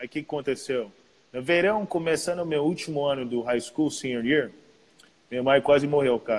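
The man's pitch is fairly high, with ordinary variation. He talks at a moderate pace. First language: English (speaking Portuguese). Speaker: professional basketball player. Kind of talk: casual chat.

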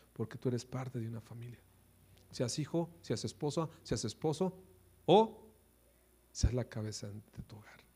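In a dark, mellow tone, a man talks at a moderate pace with lively intonation, a somewhat breathy quality, big swings in loudness and long, frequent pauses. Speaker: pastor. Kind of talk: sermon.

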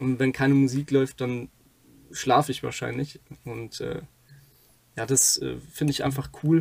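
With long, frequent pauses, a man speaks fairly slowly at a medium pitch in a monotone, flat intonation. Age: 20s. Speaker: podcast co-host, aerospace engineering student. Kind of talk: casual chat.

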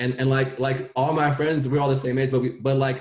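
Speech comes fast from this man. His tone is slightly mellow.

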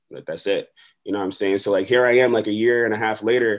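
With an American accent, a man speaks in a fairly low pitch. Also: quiet background. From Buffalo, New York. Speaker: rapper and middle school teacher. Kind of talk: casual interview. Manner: animated.

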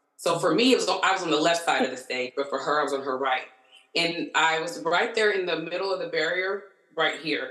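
Fairly low-pitched woman, an ordinary speaking voice, ordinary pitch variation, fairly quick pace. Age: 30s. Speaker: concert-goer. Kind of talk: casual chat.

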